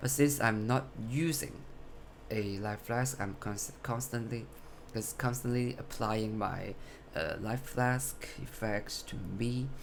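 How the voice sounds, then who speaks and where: A man at a very slow pace and medium pitch, with long, frequent pauses and audible room echo. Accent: non-native. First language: not English. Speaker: gamer showing a build. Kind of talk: game build tutorial. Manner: halting, self-correcting.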